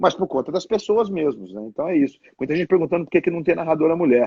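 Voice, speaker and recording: With a dry, close sound and no echo, a man with a high pitch and a dark, mellow tone makes very wide pitch swings. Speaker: television sports narrator. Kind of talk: casual live interview answers.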